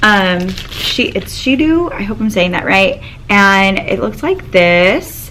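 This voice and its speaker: A woman speaks at a very slow pace with lively intonation. The room echo is audible and the background noise is noticeable. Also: medium pitch for a woman. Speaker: teacher vlogger. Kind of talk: casual vlog chat. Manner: halting, many fillers.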